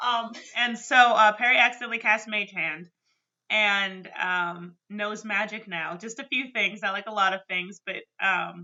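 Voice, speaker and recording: A woman's fairly high voice with a Michigan accent and big swings in loudness. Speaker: tabletop role-play podcast player. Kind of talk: actual-play game chat. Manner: animated.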